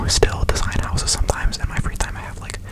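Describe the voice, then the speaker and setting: A whispered voice. There's noticeable background noise behind it. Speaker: ASMR creator. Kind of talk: ASMR whisper ramble. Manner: casual, rambling.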